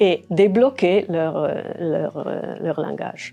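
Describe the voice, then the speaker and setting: A woman's very slow speech with ordinary pitch variation, music in the background. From Aosta Valley, Italy. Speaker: retired educator. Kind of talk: interview. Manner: halting, many fillers.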